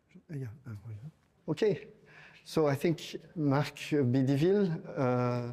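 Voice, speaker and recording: Speaking with a French accent at a fairly high pitch, a man uses a dark, mellow tone, lively intonation and big swings in loudness, moving at a fairly slow pace with long, frequent pauses. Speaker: event moderator. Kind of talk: moderating. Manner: halting.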